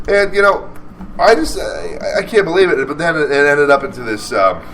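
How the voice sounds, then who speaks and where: The man speaks at a fairly quick pace. Noticeable background noise runs under his voice. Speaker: radio show host. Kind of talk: casual chat. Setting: live radio show at a rock venue. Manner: animated.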